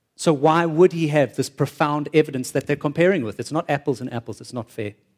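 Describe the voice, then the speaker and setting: An animated tone comes through in a dry, close sound with no echo. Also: man. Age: 40s. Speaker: preacher. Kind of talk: sermon.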